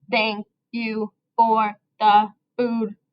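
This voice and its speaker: The speaker puts on a robotic character voice in a flat monotone. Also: woman, fairly high pitch for a woman. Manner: flat, choppy, word-by-word mechanical.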